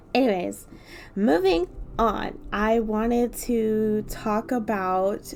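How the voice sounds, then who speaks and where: Fairly even intonation marks this woman's speech. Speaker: art YouTuber. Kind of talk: casual vlog chat while drawing. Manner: frequent filler words, says um a lot; casual, rambling.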